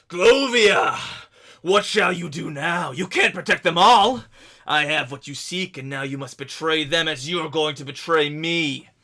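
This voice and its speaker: Bellowing in a put-on character voice, a man with a fairly high pitch moves at a moderate pace with lively intonation and big swings in loudness. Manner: taunting, shouting.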